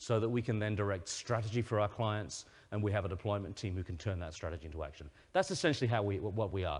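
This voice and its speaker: Someone with an American accent speaks very fast in a somewhat breathy voice against a quiet background. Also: man. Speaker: company CEO, conference speaker. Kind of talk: conference presentation. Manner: hesitant, many repeated words.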